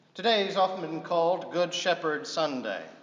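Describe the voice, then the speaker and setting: A man speaks at a moderate pace, and the room's echo can be heard. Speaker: priest preaching. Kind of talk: sermon. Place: church.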